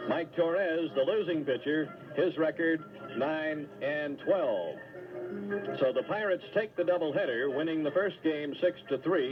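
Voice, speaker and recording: A man's fairly high voice at a moderate pace, ordinary pitch variation, and music in the background. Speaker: radio baseball play-by-play announcer. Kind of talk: live baseball play-by-play.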